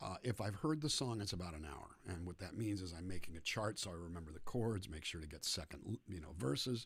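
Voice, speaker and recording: A man with a very deep, low pitch and a somewhat breathy voice talks at a fairly quick pace with lively intonation and hardly any pauses. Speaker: singer-songwriter. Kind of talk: livestream chat between songs. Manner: soft-spoken.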